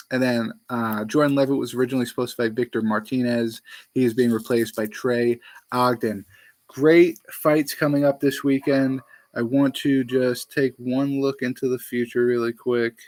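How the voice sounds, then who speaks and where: Recorded with a dry, close sound and no echo, a man speaks at a moderate pace with fairly even intonation. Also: medium pitch for a man. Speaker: MMA podcast host. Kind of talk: fight preview show. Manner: halting, many fillers and restarts; casual.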